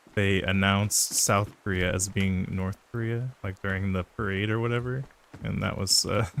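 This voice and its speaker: With an American accent and a plain, everyday voice, a man speaks at a moderate pace with fairly even intonation. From US. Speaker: gaming streamer. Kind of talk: live gameplay stream chat. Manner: casual with many fillers and repetitions.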